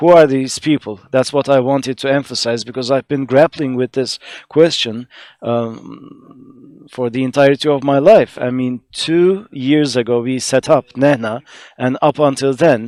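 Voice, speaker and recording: A man with an Arabic accent speaks at a fairly slow pace and a medium pitch. His intonation is fairly even, and the sound is dry and close with no echo. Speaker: conference panelist, researcher. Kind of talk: conference presentation. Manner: halting, many fillers.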